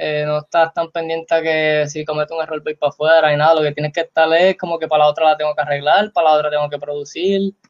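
A fairly high-pitched man's voice, monotone and flat, at a very fast pace with hardly any pauses. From Puerto Rico, Trujillo Alto. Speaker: basketball player. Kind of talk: casual interview.

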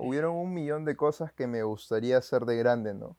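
The man's voice has a dark, mellow tone at medium pitch with ordinary pitch variation, recorded with a dry, close sound and no echo. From Peru, Lima. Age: 20s. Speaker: photographer and church video volunteer. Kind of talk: casual interview.

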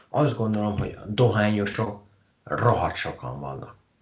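A man speaks with a fairly low pitch. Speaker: podcast host. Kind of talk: casual interview. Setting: Skype call.

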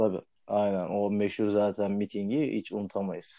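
The speaker is a man with a fairly low pitch. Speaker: podcast host. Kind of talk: casual chat.

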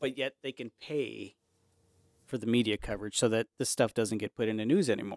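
A normal speaking voice from a man, medium in pitch with ordinary pitch variation, at a fairly quick pace, in a dry, close sound with no echo. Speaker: podcast co-host. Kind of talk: casual chat.

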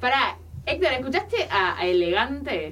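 Against noticeable background noise, a woman talks at a very slow pace. Her pitch swings very widely. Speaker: radio co-host, communication student. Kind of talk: casual chat.

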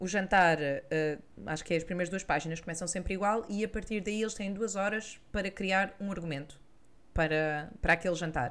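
At a moderate pace, a woman of medium pitch talks with ordinary pitch variation. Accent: European Portuguese. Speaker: culture podcast co-host. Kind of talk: casual chat.

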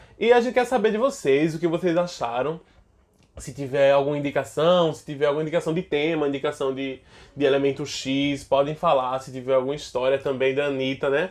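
A fairly high-pitched man at a fairly quick pace, animated in tone with ordinary pitch variation, against a quiet background. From Alagoas, Brazil. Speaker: actor and podcast co-host. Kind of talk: casual chat.

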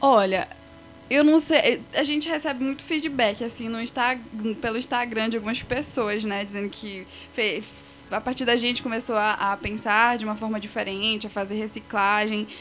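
Noticeable background noise behind a woman's fairly high voice, with ordinary pitch variation and a moderate pace. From Pará, Brazil (Igarapé-Açu). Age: 20s. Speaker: biology student. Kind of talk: podcast interview.

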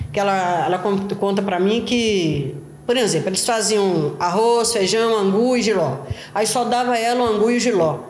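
Speaking at a fairly slow pace, a woman has a fairly high pitch with ordinary pitch variation and very even loudness. Audible room echo and noticeable background noise are present. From Belo Horizonte, Minas Gerais, Brazil. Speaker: favela resident, daughter of interviewee. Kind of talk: interview testimony. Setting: at home, on a sofa. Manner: halting, repetitive.

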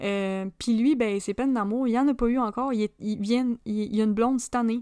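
In a Quebec accent, a woman speaks at a moderate pace with a fairly high pitch and fairly even intonation, on a very clean recording with a silent background. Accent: Québécois French. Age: 20s. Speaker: podcast host. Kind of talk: casual monologue. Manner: hesitant with fillers.

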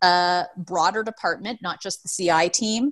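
Against a quiet background, a woman with an American accent speaks at a fairly slow pace with ordinary pitch variation. She has an unremarkable speaking voice. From Seattle, US Pacific Northwest. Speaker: healthcare improvement director. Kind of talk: interview.

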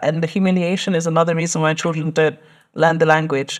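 Speaking very fast with a London accent, a woman uses a fairly low pitch on a very clean recording with a silent background. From London, England. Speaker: doctoral researcher. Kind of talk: podcast interview.

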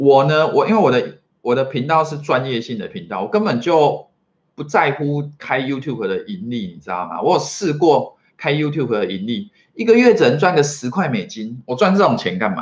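A man speaks at a moderate pace with a fairly high pitch. His pitch swings very widely and his loudness rises and falls sharply. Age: 40s. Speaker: marketing consultant and entrepreneur. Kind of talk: solo vlog talk to camera. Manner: filler-heavy, casual with frequent 哈.

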